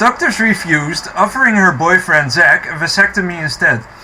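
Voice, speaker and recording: Over noticeable background noise, a man speaks in a high pitch for a man with a non-native accent and lively intonation. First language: not English. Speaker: commentary youtuber. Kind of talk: reaction commentary. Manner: halting, many fillers.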